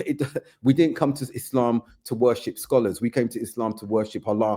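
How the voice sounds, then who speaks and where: A man's medium-pitched voice with a British accent, fairly quick, with a dark, mellow tone. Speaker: community figure. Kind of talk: podcast conversation. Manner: animated.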